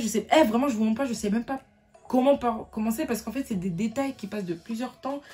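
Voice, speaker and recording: Over music in the background, a woman with a fairly high pitch speaks at a fairly quick pace with ordinary pitch variation. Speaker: youtuber. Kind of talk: storytime testimony. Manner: stutters when upset; emotional, unscripted.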